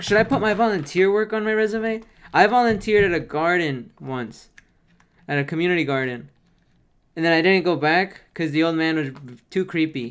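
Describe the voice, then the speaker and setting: Captured in a very clean recording with a silent background, the speech moves at a fairly quick pace. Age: 30s. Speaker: streamer. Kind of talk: casual live stream chat.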